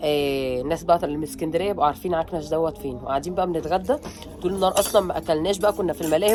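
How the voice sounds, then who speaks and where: Music plays as a woman talks very fast in an animated tone. Her intonation is lively. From Egypt, Alexandria. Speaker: family vlogger. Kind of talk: casual vlog chat.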